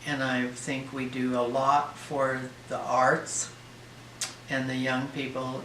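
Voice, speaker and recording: A man speaks with an American accent. Audible room echo and noticeable background noise fill the recording. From Oregon, US Pacific Northwest. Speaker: elderly resident interviewee. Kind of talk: interview.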